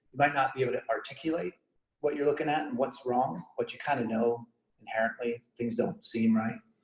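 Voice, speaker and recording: A man's somewhat breathy voice with ordinary pitch variation at a fairly quick pace. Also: medium pitch for a man. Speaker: software engineering manager giving a meetup talk. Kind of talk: conference talk. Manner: fast; casual with many fillers.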